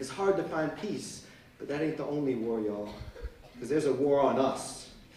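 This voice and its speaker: Noticeable background noise sits behind the speech. A man talks at a moderate pace. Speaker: spoken word poet. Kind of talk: live spoken word performance. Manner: rhythmic, rhyming delivery.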